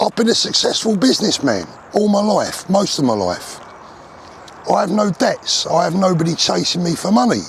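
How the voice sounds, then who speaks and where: A man with a British accent, animated in tone, at a moderate pace and very even loudness, amid noticeable background noise. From UK. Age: 60s. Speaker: vlogger. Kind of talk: casual monologue rant. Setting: outdoors, walking.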